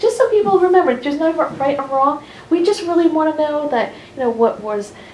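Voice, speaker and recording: With an American accent and a high pitch, a woman speaks at a fairly quick pace, her pitch swinging very widely, over noticeable background noise. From US Northeast, New Jersey (Hasbrouck Heights). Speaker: library oral history organizer. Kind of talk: briefing to interviewees. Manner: animated.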